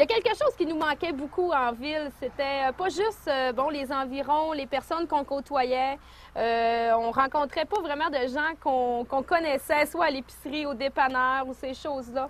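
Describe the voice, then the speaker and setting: The speech moves at a moderate pace with hardly any pauses. Pitch variation is ordinary. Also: woman, high pitch for a woman. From Quebec, Lac-Saint-Jean region. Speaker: returning migrant entrepreneur. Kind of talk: testimony.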